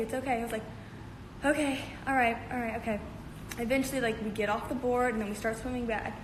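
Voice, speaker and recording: A woman with a high voice talks very fast in an animated tone, with audible room echo and noticeable background noise. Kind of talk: casual livestream storytelling. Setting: livestream.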